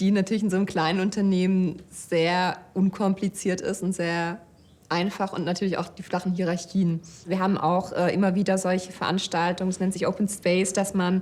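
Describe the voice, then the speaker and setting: Her delivery is monotone, with flat intonation, at a moderate pace. The woman's pitch is medium. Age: 30s. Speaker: data scientist and project manager. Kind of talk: employee interview. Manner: hesitant, many fillers.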